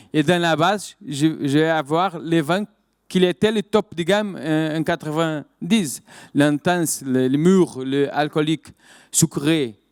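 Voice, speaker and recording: Here a man talks at a very slow pace with a fairly high pitch and ordinary pitch variation. The sound is dry and close with no echo, on a very clean recording with a silent background. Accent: Portuguese. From Portugal. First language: Portuguese (speaking French). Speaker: winemaker, wine business director. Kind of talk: conference talk. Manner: halting, many hesitations and repetitions.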